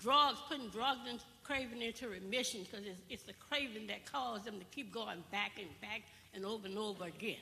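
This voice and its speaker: Bright and sharp in tone, a woman speaks at a moderate pace and a fairly high pitch with lively intonation, in audible room echo. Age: 70s. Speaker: audience member asking a question. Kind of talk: town hall audience question. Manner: animated.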